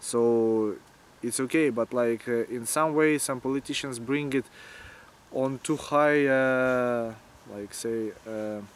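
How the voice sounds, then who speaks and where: This man speaks in a Ukrainian accent at a very slow pace. His pitch is medium and his intonation fairly even. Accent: Ukrainian Russian-speaker accent in English. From Ukraine, Kyiv. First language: Russian. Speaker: antifascist activist and war volunteer. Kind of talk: interview. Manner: halting, many filler words.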